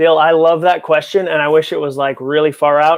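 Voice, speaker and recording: Speaking at a moderate pace with an American accent, a man uses a fairly high pitch and fairly even intonation. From New England (Massachusetts). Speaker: author and speaker. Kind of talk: live Q&A stream. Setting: home office, filming live.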